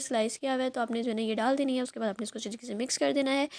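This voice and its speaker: Pitch varies in an ordinary way on a very clean recording with a silent background. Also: woman. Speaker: vlogger. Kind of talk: vlog voice-over. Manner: hesitant with fillers.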